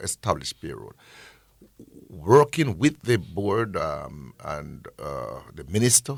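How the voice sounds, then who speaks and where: A man speaking at a very slow pace, on a very clean recording with a silent background. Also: big swings in loudness, dry, close sound with no echo. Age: 60s. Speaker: agency executive director. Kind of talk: radio interview. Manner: halting.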